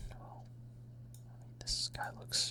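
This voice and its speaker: Whispered speech comes through against noticeable background noise. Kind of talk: ASMR gaming ramble.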